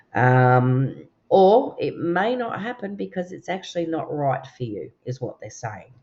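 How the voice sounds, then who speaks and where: A woman with an Australian accent speaks at a fairly slow pace in a relaxed tone, her pitch swinging very widely, with hardly any pauses. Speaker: tarot and oracle card reader. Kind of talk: card reading. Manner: relaxed, chatty with fillers.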